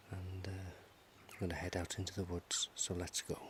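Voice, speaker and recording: The voice is soft-spoken. The pace is fairly quick. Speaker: ASMR video creator. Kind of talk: softly spoken ASMR vlog. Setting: outdoors in the woods.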